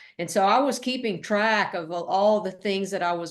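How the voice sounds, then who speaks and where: Against a quiet background, a woman with a Tennessee accent talks at a moderate pace. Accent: Southern US (Tennessee). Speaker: author and former park ranger. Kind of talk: interview.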